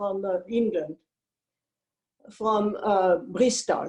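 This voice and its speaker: A woman with a French accent talks at a very slow pace. Her pitch sits fairly high, and her intonation stays fairly even. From France. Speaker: wine importer. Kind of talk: interview.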